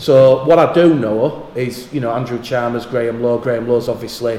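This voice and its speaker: A man of medium pitch speaks in a Yorkshire accent with fairly even intonation. Noticeable background noise and audible room echo fill the recording. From Yorkshire, northern England. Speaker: rugby league radio commentator. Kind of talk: casual interview chat.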